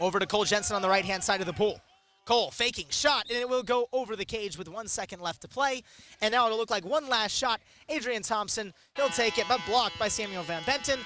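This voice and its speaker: Music plays behind a man talking at a very fast pace in a raised, projected voice. His high pitch carries an energetic tone with ordinary pitch variation. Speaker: sports broadcaster. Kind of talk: live radio play-by-play. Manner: fast, energetic.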